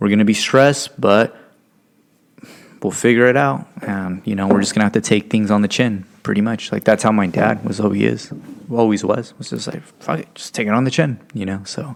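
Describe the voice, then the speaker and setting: With a Californian accent, this voice moves at a fairly quick pace with ordinary pitch variation. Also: man, fairly low pitch for a man. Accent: Californian American English. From Stockton, California. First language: Spanish. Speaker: podcast co-host. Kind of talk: casual chat. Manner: casual, filler-heavy.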